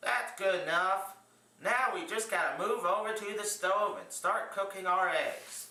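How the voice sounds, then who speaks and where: Against noticeable background noise, a man with a high pitch uses a raised, projected voice, speaking fairly slowly with fairly even intonation. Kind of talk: cooking demonstration.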